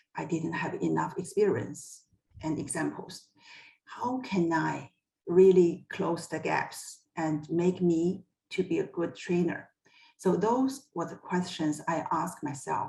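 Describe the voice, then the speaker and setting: A woman with a Chinese accent talks at a fairly slow pace. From China. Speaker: HR executive. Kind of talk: personal career story in a panel talk.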